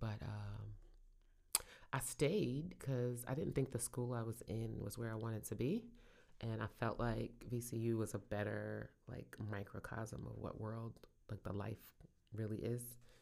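With a Brooklyn accent, a woman talks at a fairly slow pace in a very deep, low voice with a dark, mellow tone, vocal fry and ordinary pitch variation. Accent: New York (Brooklyn). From Brooklyn, New York. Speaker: podcast co-host, small business owner. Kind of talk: casual chat. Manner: laughs often.

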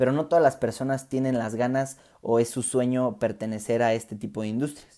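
Speaking in a dark, mellow tone, a man keeps to a moderate pace. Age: 20s. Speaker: podcast host. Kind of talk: solo monologue. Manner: halting.

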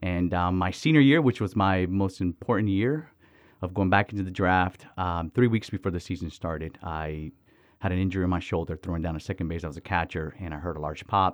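The recording is very clean, with a silent background. A man with a very deep, low pitch talks at a fairly quick pace with ordinary pitch variation. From Miami, Florida, Dominican family. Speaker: missions organization director. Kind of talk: interview conversation.

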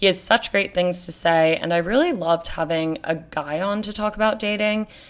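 A woman speaks in a plain, everyday voice, medium in pitch, with ordinary pitch variation at a moderate pace. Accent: American. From New York City. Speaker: podcast host. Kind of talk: casual chat; solo podcast intro.

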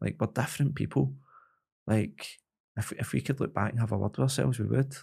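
A man's dark, mellow voice with vocal fry, very wide pitch swings, and a fairly quick pace. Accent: Glaswegian. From Glasgow, Scotland. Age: 30s. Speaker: MMA fighter and coach. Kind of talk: casual interview chat. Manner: halting, many repetitions.

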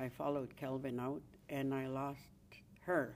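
A woman with a Canadian accent, at a fairly slow pace. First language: Cree. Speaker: Cree elder. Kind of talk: casual chat.

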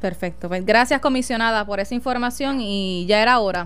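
Her pitch fairly high, a woman talks in an unremarkable speaking voice. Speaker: radio host and journalist. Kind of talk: radio talk show.

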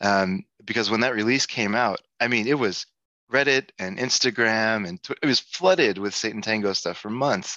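Against a quiet background, a man with a medium-pitched, bright, sharp voice speaks at a moderate pace with lively intonation, the sound dry and close with no echo. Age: 40s. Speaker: podcast host. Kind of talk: casual interview.

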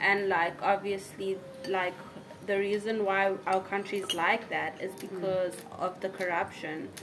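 A woman's flat, monotone voice at medium pitch and fairly slow pace, with noticeable background noise. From South Africa, KwaZulu-Natal (Pietermaritzburg). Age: 20s. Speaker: art and English teacher. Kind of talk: casual chat.

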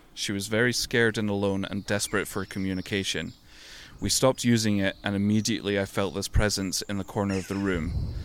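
Fairly quick in pace, a man speaks with a British accent. His intonation is monotone and flat. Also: fairly low pitch for a man, very clean recording, silent background. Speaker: podcast co-host. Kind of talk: reading aloud. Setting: outdoors in a tent in a back garden.

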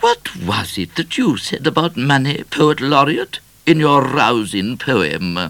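Putting on a character voice, a man speaks slowly at medium pitch with a fairly bright tone, big pitch swings and vocal fry.

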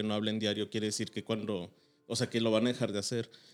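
A man at medium pitch speaks very fast in a monotone, flat intonation. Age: 30s. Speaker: podcast guest. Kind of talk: casual chat.

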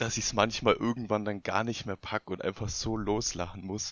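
A man's fairly low pitch with fairly even intonation, a normal speaking voice. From Bavarian Swabia, near Augsburg. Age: 20s. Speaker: podcast guest. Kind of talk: casual chat.

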